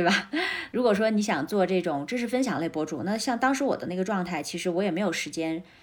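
Over noticeable background noise, a woman with a medium pitch speaks at a very fast pace with lively intonation. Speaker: entrepreneur, former journalist. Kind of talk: interview conversation.

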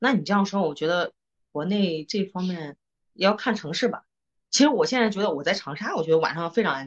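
A woman's medium-pitched voice with lively intonation, a fairly quick pace, and a plain, everyday voice. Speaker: podcast co-host. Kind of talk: casual chat. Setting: studio.

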